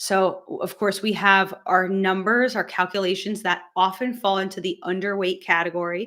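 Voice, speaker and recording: On a very clean recording with a silent background, a woman with a medium-pitched, bright, sharp voice speaks at a moderate pace in a monotone, flat intonation. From United States. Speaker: medical doctor. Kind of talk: live stream Q&A tutorial. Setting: live stream. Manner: casual, hesitant with fillers.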